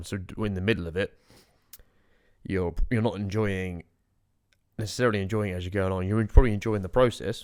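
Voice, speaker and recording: The recording is very clean, with a silent background. Speech moves at a fairly quick pace with fairly even intonation. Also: man. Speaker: podcast co-host. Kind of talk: casual chat.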